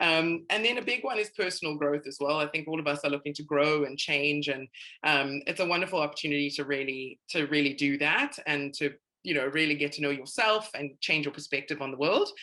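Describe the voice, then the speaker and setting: Very deep and low, the woman's voice has a bright, sharp tone and ordinary pitch variation. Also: fairly quick pace. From South Africa. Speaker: recruitment presenter. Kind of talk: webinar presentation. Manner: casual, filler-heavy.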